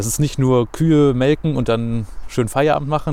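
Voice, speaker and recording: The man's voice has a dark, mellow tone at medium pitch. He speaks at a moderate pace. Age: 20s. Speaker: radio and podcast host, trainee teacher. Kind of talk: casual interview. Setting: outdoors in a city forest.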